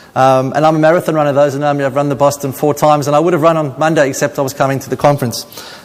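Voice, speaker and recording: A man talks very fast with hardly any pauses, at a fairly high pitch. His intonation is monotone and flat, and there is noticeable background noise. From South Africa, Cape Town. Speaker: paediatrician. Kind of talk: conference talk.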